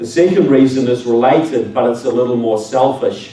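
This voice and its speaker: A man's medium-pitched voice in a New Zealand accent at a moderate pace, with audible room echo and noticeable background noise. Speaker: public speaker. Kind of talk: speech to an audience. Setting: stage with audience.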